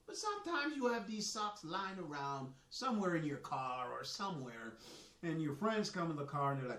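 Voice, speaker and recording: Fairly quick and animated, a man speaks in a high-pitched voice with very wide pitch swings, amid audible room echo and noticeable background noise. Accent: slight Jamaican. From Jamaica. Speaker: soccer coach and author, army veteran. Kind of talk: live stream monologue. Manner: casual, animated.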